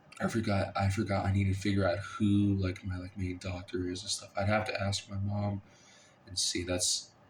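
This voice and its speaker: The man's voice comes across as somewhat breathy. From Kansas, Lawrence. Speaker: college student vlogger. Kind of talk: casual vlog monologue. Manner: halting, many fillers; rambling, unscripted.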